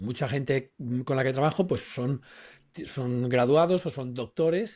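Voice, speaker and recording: This man has a normal speaking voice at a medium pitch, moving at a moderate pace. His pitch varies in an ordinary way, and the background is quiet. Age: 60s. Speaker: personal branding consultant. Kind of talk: podcast discussion.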